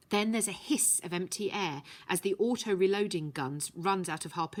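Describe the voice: Plain reading aloud of a text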